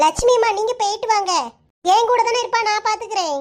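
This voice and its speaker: Using a put-on character voice that is squeaky and extremely high, a woman talks at a moderate pace. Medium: cartoon. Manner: teasing, warm.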